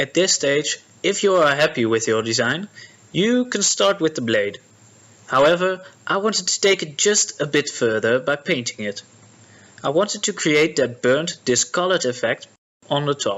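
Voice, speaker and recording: Speaking at a moderate pace with a Dutch accent, a man uses very wide pitch swings from a fairly high voice. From Netherlands. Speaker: prop maker. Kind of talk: tutorial narration.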